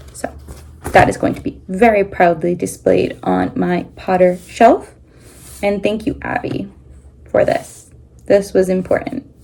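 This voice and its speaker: Noticeable background noise is present throughout. A woman talks at a fairly slow pace, pausing often and at length. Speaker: crafting vlogger. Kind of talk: casual chat.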